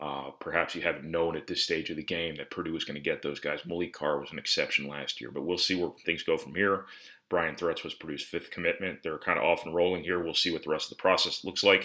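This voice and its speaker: Very fast and with hardly any pauses, the voice is bright and sharp in tone with a monotone, flat intonation. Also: man, very deep, low pitch for a man. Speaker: sports reporter and show host. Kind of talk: solo video commentary. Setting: at home.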